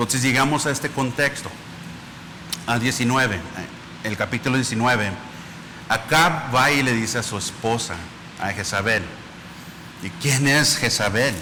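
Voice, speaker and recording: Noticeable background noise sits behind a man who speaks at a moderate pace and medium pitch, with ordinary pitch variation and long, frequent pauses. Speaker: preacher. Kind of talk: sermon.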